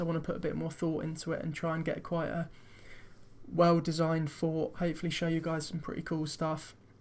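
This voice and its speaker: A man talks at a very fast pace. His pitch is fairly high. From Britain. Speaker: video game streamer. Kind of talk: let's play commentary. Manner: casual.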